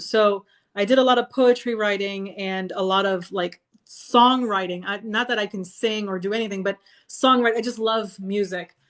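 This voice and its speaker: A woman with a Spanish accent, medium pitch, fairly even intonation and a moderate pace, in a very clean recording with a silent background. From Florida, USA (moved there as a young child). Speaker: sci-fi author and army veteran. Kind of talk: casual interview chat. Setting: live video stream.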